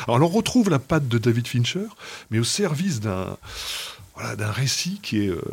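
This man has a medium pitch. He talks at a fairly quick pace with lively intonation. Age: 50s. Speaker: TV series critic. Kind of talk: casual chat. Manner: animated.

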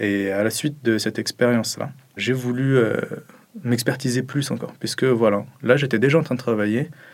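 Here is a man with a normal speaking voice and medium pitch. His intonation is fairly even and his pace moderate. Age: 20s. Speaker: software development student. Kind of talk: interview testimony.

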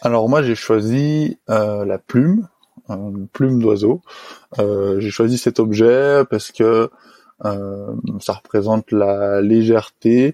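The man's voice is medium in pitch, with a dark, mellow tone and ordinary pitch variation. He speaks at a very slow pace. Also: dry, close sound with no echo. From French Alps, Haute-Savoie. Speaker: highliner, tightrope walker. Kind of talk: interview testimony. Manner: hesitant, many fillers.

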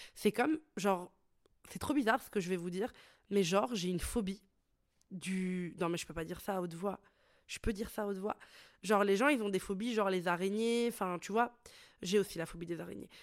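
Recorded very cleanly with a silent background, a woman of medium pitch talks at a fairly quick pace with ordinary pitch variation, big swings in loudness, and long, frequent pauses. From Italy. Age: 20s. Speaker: podcast host and entrepreneur. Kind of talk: solo podcast monologue. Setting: studio microphone. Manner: casual, hesitant with fillers.

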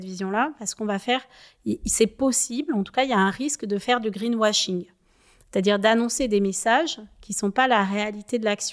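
A woman talks in a normal speaking voice at a fairly high pitch, with ordinary pitch variation and a moderate pace. The recording is very clean, with a silent background. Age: 30s. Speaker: chartered accountant, sustainability consultant. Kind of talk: interview.

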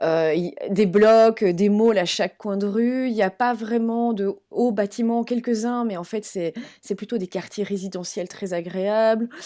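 Against a silent background on a very clean recording, a woman with a dark, mellow tone speaks very slowly. She hardly pauses and keeps her intonation fairly even. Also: fairly high pitch for a woman. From Belgium. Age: 40s. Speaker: travel professional and expat mother. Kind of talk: interview.

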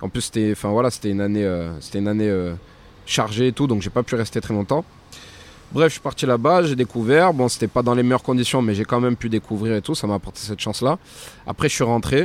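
A man speaks at a very fast pace with long, frequent pauses, using medium pitch and ordinary pitch variation. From France. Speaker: professional boxer. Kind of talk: casual chat.

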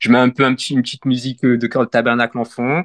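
A man talks at a fairly quick pace against a quiet background. The sound is dry and close, with no echo. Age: 30s. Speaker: church member sharing faith journey. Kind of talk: casual interview. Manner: halting.

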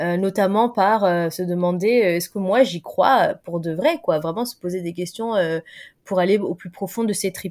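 A woman's medium-pitched voice at a fairly slow pace, with ordinary pitch variation, on a very clean recording against a silent background. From Paris suburbs, France. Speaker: content creator and diversity consultant. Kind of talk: interview conversation. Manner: hesitant, many fillers.

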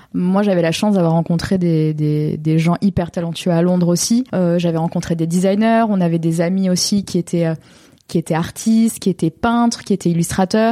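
A woman speaks at a moderate pace with a fairly low pitch and fairly even intonation. Her tone is dark and mellow, on a very clean recording with a silent background. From southern France, Montpellier area. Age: 20s. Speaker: painter. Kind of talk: interview.

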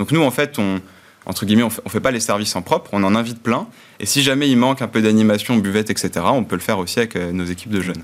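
At a very fast pace, a man speaks with a fairly low pitch and ordinary pitch variation on a very clean recording with a silent background. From Burgundy, France (Côte-d'Or village). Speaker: founder of a rural social enterprise. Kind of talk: interview.

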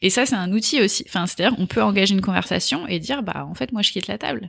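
Her medium-pitched voice carries vocal fry, and the woman's intonation is lively. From France, Essonne (Paris region). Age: 30s. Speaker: nonprofit executive and activist. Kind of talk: interview. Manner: hesitant with fillers.

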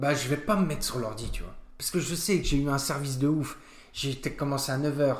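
With a normal speaking voice, a man talks at a fairly quick pace in a fairly high pitch, using ordinary pitch variation. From France, Nancy area (Lorraine). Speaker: restaurant co-owner. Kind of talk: casual interview chat.

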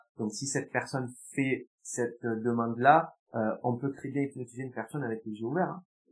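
A plain, everyday voice, it moves at a moderate pace and varies its pitch in an ordinary way. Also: man, medium pitch for a man. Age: 20s. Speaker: hypnotherapist. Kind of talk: interview.

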